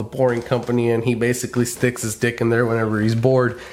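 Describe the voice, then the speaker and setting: Through noticeable background noise, a man with an American accent talks at a medium pitch. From California. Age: 30s. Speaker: podcast host. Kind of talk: casual chat. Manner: animated.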